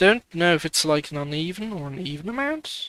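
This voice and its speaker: The speech moves at a fairly slow pace in a British accent. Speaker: gaming streamer. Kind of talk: live gameplay stream commentary. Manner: casual, thinking aloud.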